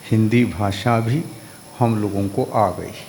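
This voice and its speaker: A man with a Kannada accent speaks at a medium pitch. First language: Kannada (speaking Hindi). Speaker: Jain monk. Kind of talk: religious discourse.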